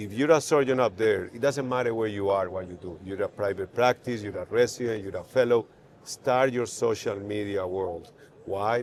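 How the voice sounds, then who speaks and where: The speaker has a Spanish accent and talks at a moderate pace. Pitch varies in an ordinary way. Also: man. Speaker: neurosurgeon. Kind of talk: podcast interview. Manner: halting.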